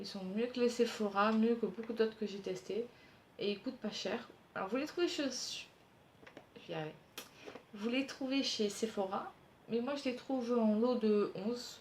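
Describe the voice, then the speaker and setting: A woman with a fairly high pitch and a fairly slow pace. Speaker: beauty youtuber. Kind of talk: product review vlog.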